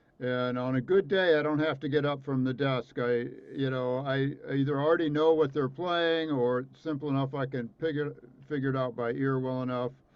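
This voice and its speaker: Speaking at a fairly quick pace with a US Midwestern accent, a man keeps his intonation fairly even. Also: fairly high pitch for a man. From Indiana, US Midwest. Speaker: trumpet professor. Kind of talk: casual interview.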